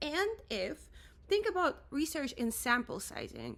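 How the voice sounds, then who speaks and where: With a Russian accent and vocal fry, a woman speaks in an animated tone, her pitch swinging very widely. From Russia, Moscow. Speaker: musician and creative director. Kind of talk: rant vlog.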